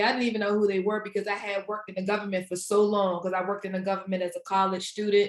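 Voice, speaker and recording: A woman of medium pitch with a DC area accent. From Washington DC area. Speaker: career coach and author. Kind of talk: interview. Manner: casual.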